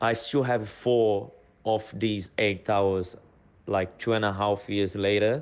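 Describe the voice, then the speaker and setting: A man with a non-native accent at a very slow pace, fairly low in pitch, monotone and flat in intonation, very even in loudness, against a quiet background. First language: not English. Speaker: guest. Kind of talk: casual storytelling. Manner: halting, non-native phrasing.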